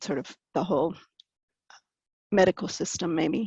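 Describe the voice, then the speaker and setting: A woman's medium-pitched, plain, everyday voice at a moderate pace, dry and close with no echo over a quiet background. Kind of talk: artist talk presenting slides. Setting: video call.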